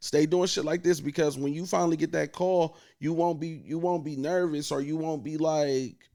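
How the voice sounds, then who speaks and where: A man speaks at a moderate pace with an American accent, his pitch fairly high and his tone dark and mellow. His intonation is flat and monotone, and the recording is very clean with a silent background. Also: hardly any pauses. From US Midwest, Akron, Ohio. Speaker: radio host and event host. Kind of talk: casual chat.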